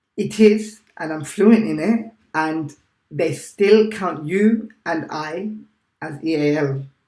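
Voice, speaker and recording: A man with a British accent speaks at a very slow pace and a high pitch. His pitch varies in an ordinary way, while his loudness swings widely. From England. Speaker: teacher. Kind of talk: casual chat.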